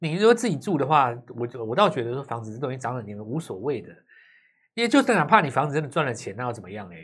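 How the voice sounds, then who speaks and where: A medium-pitched man talks at a very fast pace with very wide pitch swings and big swings in loudness, in a very clean recording with a silent background. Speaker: stock market analyst. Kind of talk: casual chat.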